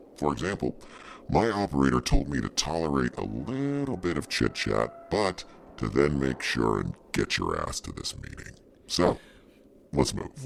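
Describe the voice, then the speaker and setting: A man's put-on character voice, very deep and low, at a moderate pace. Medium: audio drama. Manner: blunt, laconic.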